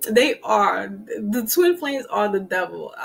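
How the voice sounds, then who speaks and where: Putting on a character voice, a woman mumbles nasally at a fairly high pitch and a fairly slow pace, with light background noise. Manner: mumbly.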